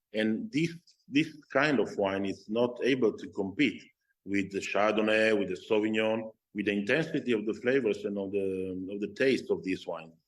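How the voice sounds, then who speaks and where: A man speaks with a Slovenian accent at a moderate pace. His fairly low pitch varies in an ordinary way. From Slovenian-Italian border area (Oslavia). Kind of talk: interview. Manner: halting, many fillers and repeats.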